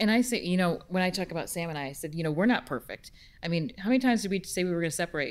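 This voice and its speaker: A woman with an American accent and fairly low pitch talks at a very fast pace with lively intonation. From upstate New York. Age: 40s. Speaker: business consultant; panelist. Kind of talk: panel discussion. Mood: personal, reflective. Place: hall. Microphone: handheld.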